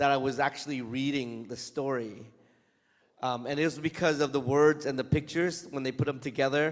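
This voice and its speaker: A man talks at a moderate pace with a fairly high pitch. His intonation stays fairly even. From Vietnam, moved to US as a child. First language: Vietnamese. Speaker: comic book author. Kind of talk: Q&A talk to students. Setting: school event with student audience. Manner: casual, hesitant with fillers.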